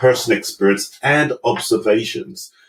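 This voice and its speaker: At a fairly slow pace, a man speaks with a London accent. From London (Brixton), England. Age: 50s. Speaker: management consultant. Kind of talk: interview.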